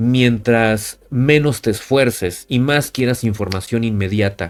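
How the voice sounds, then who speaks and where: A man with an unremarkable speaking voice talks at a fairly slow pace, his medium pitch carried by lively intonation. The recording is very clean, with a silent background. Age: 30s. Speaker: lawyer and law educator. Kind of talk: lecture.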